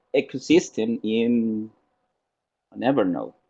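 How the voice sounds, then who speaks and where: The man speaks at a medium pitch with a Spanish accent. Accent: Spanish accent, non-native English. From Costa Rica. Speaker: software trainer. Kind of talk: software tutorial in webinar. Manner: halting.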